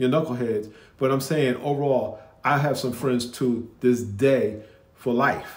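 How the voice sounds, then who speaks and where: Audible room echo around a man's medium-pitched voice in a northeastern US accent. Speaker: commentator reacting to videos. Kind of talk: casual reaction commentary. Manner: halting, with many restarts.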